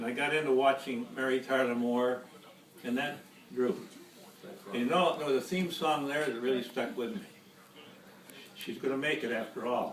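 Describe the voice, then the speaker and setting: Lively in intonation, a medium-pitched man talks fairly quickly with noticeable noise in the background. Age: old. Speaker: grandfather. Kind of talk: family Thanksgiving speech.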